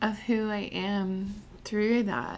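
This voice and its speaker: A quiet woman's voice with fairly high pitch. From military family, moved around the US. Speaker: podcast host, tattoo artist. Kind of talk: podcast monologue introduction. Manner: hesitant, many fillers.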